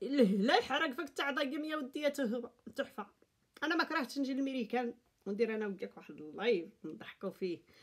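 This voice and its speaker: A high-pitched woman's voice in an animated tone with very wide pitch swings, at a moderate pace over a quiet background. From Morocco. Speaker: YouTube vlogger. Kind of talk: casual commentary monologue. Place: home room. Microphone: phone near.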